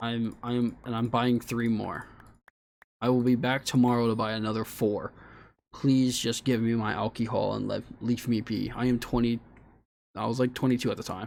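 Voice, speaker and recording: Over a very clean recording with a silent background, the speech moves at a moderate pace in a monotone, flat intonation with long, frequent pauses. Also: man. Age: 20s. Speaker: streamer. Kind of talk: casual chat. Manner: halting.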